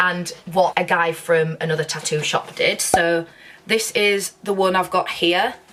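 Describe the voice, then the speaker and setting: A woman with a Northern English accent at medium pitch and a fairly slow pace, her intonation fairly even and loudness very even, over noticeable background noise. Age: 20s. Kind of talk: casual talk to camera.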